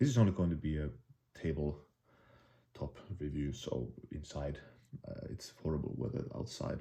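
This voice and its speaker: A man with a Finnish accent speaks in a very deep, low voice with a dark, mellow tone and vocal fry. His pitch swings very widely. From Finland. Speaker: bushcraft YouTuber. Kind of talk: product review. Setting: indoors, tabletop. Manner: halting, many fillers and restarts.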